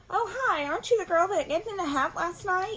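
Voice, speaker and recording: A woman speaks in a put-on, squeaky character voice with extremely high pitch, lively intonation and a fairly quick pace over clear background noise. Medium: read story. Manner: friendly, easygoing.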